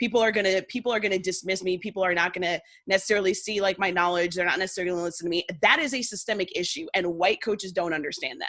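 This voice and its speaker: A woman with a Northern US accent speaks very fast, hardly pausing at all. Her tone is bright and sharp, with ordinary pitch variation. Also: medium pitch for a woman. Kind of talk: casual interview chat. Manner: animated.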